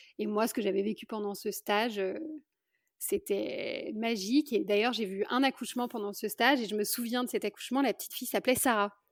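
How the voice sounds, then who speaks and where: At a fairly quick pace, a woman with a fairly high pitch and ordinary pitch variation speaks in a dry, close sound with no echo. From France, Lyon. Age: 30s. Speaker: midwife. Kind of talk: interview. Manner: halting, many hesitations.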